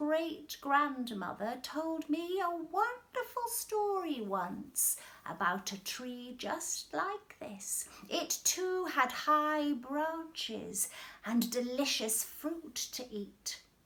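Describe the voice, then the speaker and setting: A woman speaks very slowly in a put-on character voice, high-pitched and with very wide swings in pitch. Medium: read story.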